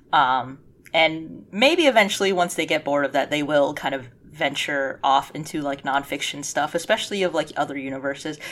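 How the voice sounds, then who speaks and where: Her pitch very deep and low, a woman talks at a moderate pace with ordinary pitch variation and hardly any pauses. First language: Cantonese. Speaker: podcast co-host. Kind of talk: casual chat. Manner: animated.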